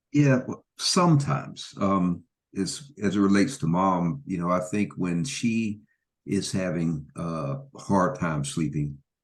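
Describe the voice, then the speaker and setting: Against a quiet background, a man with a very deep, low pitch speaks fairly slowly with lively intonation. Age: 60s. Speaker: family caregiver. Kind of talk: panel discussion. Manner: halting, many fillers.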